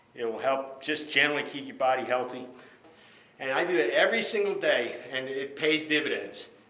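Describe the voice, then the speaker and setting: A man talks at a fairly quick pace and fairly high pitch, with ordinary pitch variation and audible room echo. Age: 60s. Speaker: fitness instructor. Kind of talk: tutorial. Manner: casual.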